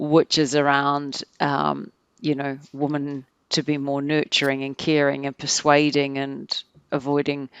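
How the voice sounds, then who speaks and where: A woman with a New Zealand accent and a very deep, low pitch is heard in a dry, close sound with no echo against a quiet background. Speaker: organizational psychologist. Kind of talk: podcast interview.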